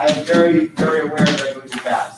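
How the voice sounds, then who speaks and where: There is noticeable background noise behind the voice. A man speaks with ordinary pitch variation. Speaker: science teacher. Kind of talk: lecture.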